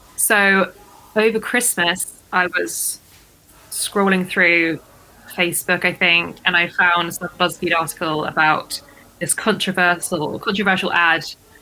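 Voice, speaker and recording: A woman with an English accent speaks at a fairly slow pace in a bright, sharp tone, her pitch fairly low and intonation fairly even. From southern England, Dorset. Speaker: podcast guest, fitness community member. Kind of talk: casual interview chat.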